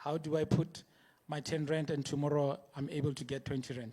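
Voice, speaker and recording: A man's fairly high-pitched voice, monotone, flat intonation, moderate pace. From Soweto, South Africa. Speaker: Bitcoin educator. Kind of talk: conference talk. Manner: hesitant, with filler words.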